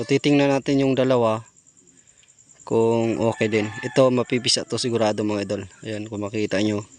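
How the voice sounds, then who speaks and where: A man with an ordinary speaking voice, medium pitch, fairly even intonation and a fairly quick pace. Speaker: video creator. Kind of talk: casual vlog narration. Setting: outdoors at a chicken coop at night. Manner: casual.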